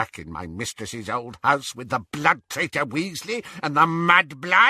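In a croaky put-on character voice, a man speaks fairly slowly at a fairly high pitch against a quiet background. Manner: contemptuous, muttering.

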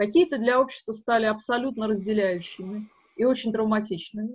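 A woman's somewhat breathy voice sits at a fairly high pitch and shows ordinary pitch variation. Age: 40s. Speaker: filmmaker and forum moderator. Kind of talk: interview. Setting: forum event.

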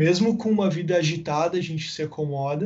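Using a plain, everyday voice, a man moves at a fairly quick pace with ordinary pitch variation. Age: 20s. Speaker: marketing manager. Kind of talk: casual interview chat. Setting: remote call.

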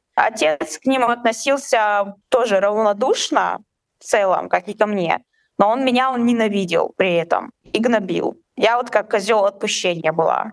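A woman's fairly high voice, an ordinary speaking voice, at a fairly slow pace, with ordinary pitch variation and very even loudness. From Chechnya. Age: 20s. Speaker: guest sharing personal story. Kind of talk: testimony in conversation.

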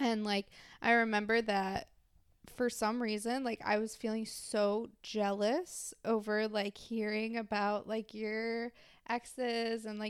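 A woman with an unremarkable speaking voice talks at a fairly slow pace and fairly high pitch, her intonation fairly even. The recording is very clean, with a silent background. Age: 20s. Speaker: podcast co-host. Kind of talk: casual chat.

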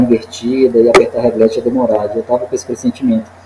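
A medium-pitched male voice over noticeable background noise. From Minas Gerais, Brazil (Montes Claros, raised in Belo Horizonte). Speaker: climber, highliner, base jumper and coach. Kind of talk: casual interview.

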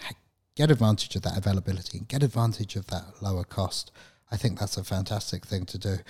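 A somewhat breathy man speaks with ordinary pitch variation. The recording is very clean, with a silent background. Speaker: IT professional, podcast co-host. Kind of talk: casual chat.

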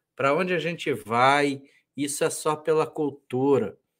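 The recording is very clean with a silent background as a man talks very slowly. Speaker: conservative commentator and book presenter. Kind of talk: casual chat. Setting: live stream.

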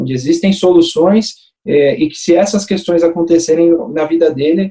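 The speech moves at a moderate pace with ordinary pitch variation and a dark, mellow tone. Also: man. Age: 30s. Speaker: life insurance broker. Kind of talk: casual chat.

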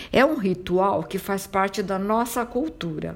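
At a fairly slow pace, a woman speaks with an Italian accent. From southern Italy, Calabria. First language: Italian (speaking Portuguese). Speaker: podcast host on Italian culture. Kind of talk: scripted narration.

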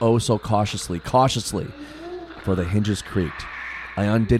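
Here the reading is done in an unforced reading voice.

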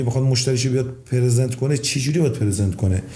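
Audible room echo and noticeable background noise surround a man speaking at a very fast pace. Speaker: property investor. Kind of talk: casual chat.

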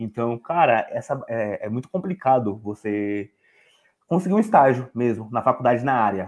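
A plain, everyday voice from a man, medium in pitch, at a moderate pace with lively intonation, on a very clean recording with a silent background. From São Paulo, Zona Leste. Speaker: law student. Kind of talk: casual chat.

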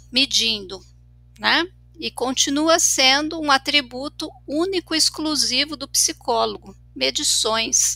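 The voice is raised and projected, with lively intonation. Delivery is at a very slow pace. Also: woman. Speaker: clinical psychologist. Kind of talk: casual discussion podcast. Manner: frequent fillers and repetitions.

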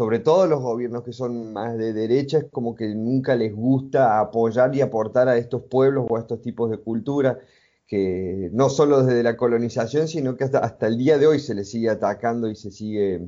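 At a moderate pace, a man speaks at medium pitch with ordinary pitch variation in an ordinary speaking voice. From Argentina, Córdoba province. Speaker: multimedia designer and traveler. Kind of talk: interview.

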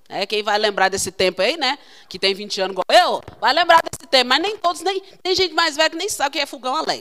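A woman's raised, projected voice, bright and sharp in tone, animated, with very wide pitch swings and a dry, close sound with no echo. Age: 40s. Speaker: consecrated religious sister preaching. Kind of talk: sermon.

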